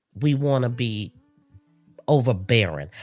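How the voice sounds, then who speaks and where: A loud woman speaks at a fairly slow pace in a dry, close sound with no echo. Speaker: podcast host. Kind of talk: casual chat.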